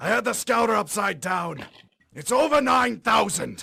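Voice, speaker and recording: Here is a raspy, cartoonish character voice. It keeps a moderate pace. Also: man, high pitch for a man. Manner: smug, condescending.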